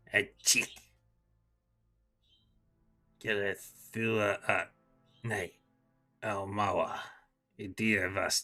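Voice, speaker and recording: In a raspy, put-on character voice pitched fairly low, a man speaks at a very slow pace with long, frequent pauses while faint music plays in the background. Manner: alien, otherworldly.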